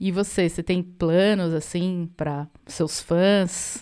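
Against a quiet background, a woman speaks at a fairly low pitch in a dark, mellow tone. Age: 40s. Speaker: musician and podcast co-host; podcast co-host. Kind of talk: casual chat. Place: home room. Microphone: studio mic.

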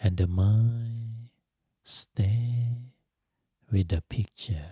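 Soft-spoken and calm, a man talks at a very slow pace with a dark, mellow tone, somewhat breathy, with fairly even intonation. The sound is dry with no echo and the background is quiet. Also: medium pitch for a man. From Thailand. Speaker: Buddhist monk and meditation teacher; meditation teacher. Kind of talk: guided meditation. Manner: slow, calm, soft-spoken. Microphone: studio mic.

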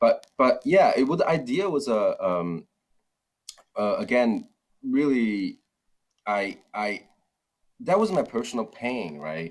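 A man with a Chinese accent at a very slow pace, with long, frequent pauses. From China (Wenzhou). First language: Mandarin Chinese. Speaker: startup founder. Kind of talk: interview. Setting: video call. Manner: halting, many fillers and repetitions. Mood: reflective. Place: office. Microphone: video call.

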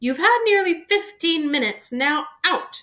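In a squeaky, put-on character voice, a woman talks at a fairly slow pace, her extremely high pitch swinging very widely. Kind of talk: book read-aloud. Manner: firm, stern.

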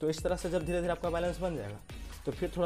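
Clear music in the background behind a man's moderate-paced speech. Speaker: fitness vlogger. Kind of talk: tutorial. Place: street. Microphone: lapel.

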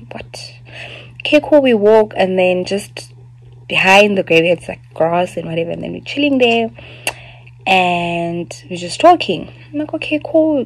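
A woman at a fairly slow pace, with very wide pitch swings and big swings in loudness. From South Africa. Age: 20s. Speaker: YouTuber. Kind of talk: personal testimony. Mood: serious personal story. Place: home room. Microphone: phone near.

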